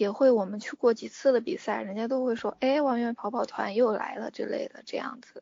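A woman speaks with vocal fry and a fairly even intonation. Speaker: fan running club organizer. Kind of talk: interview. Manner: halting.

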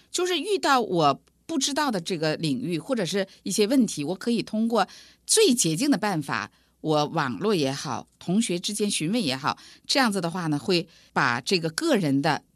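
A woman with a northern Chinese accent speaks at a moderate pace in a medium pitch, her voice swinging very widely in pitch against a quiet background. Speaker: computer science professor, dean. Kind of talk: interview.

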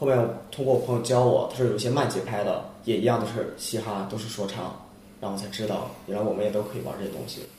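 A man talks at a very fast pace with a medium pitch and fairly even intonation. Audible room echo and noticeable background noise fill the recording. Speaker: international student, rap contestant. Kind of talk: casual chat.

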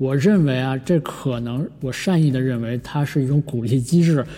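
Speaking at a moderate pace, a man uses a medium pitch and fairly even intonation, his somewhat breathy voice dark and mellow in tone. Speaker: podcast host. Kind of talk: solo casual podcast talk. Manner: many fillers and hesitations.

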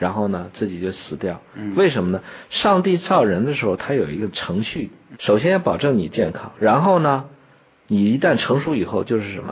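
Very wide pitch swings in a fairly low male voice at a moderate pace. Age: 40s. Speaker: traditional Chinese medicine teacher. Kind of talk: educational radio conversation.

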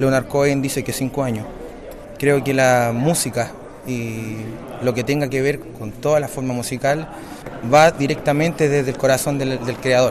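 A man speaks at a moderate pace with a medium pitch and fairly even intonation, leaving long, frequent pauses, while noticeable background noise and audible room echo fill the recording. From Chile, Valparaíso. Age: 30s. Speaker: bolero singer-songwriter. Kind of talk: interview. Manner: halting.

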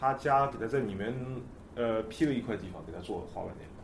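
A man talks at a very fast pace in a room with audible echo. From China, Nanjing. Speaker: skateboard photographer. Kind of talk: casual chat.

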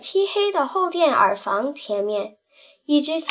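A quiet background sits behind someone reading aloud in a natural voice.

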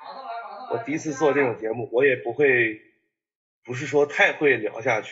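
Using an ordinary speaking voice, a man talks at a fairly quick pace in a fairly high pitch, with lively intonation and big swings in loudness. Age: 20s. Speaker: sneaker enthusiast and content creator. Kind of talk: casual chat.

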